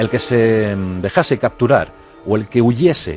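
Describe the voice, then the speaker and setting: A man's medium-pitched voice over background music. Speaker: documentary narrator / radio-TV presenter. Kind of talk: historical documentary narration.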